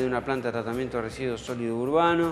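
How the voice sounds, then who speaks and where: Speech with ordinary pitch variation plays over music in the background. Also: man. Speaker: guest. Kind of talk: interview answer. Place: studio.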